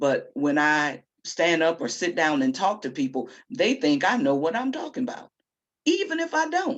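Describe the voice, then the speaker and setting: A woman speaks loudly in a confident tone at a fairly low pitch. Her pitch swings very widely. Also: moderate pace. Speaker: poet and discussion co-host. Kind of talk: casual discussion. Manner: loud, confident.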